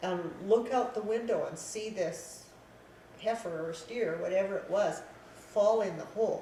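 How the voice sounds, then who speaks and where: A woman at a fairly high pitch and fairly slow pace, with ordinary pitch variation, big swings in loudness, audible room echo and noticeable background noise. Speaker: elderly local resident sharing memories. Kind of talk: casual reminiscence interview.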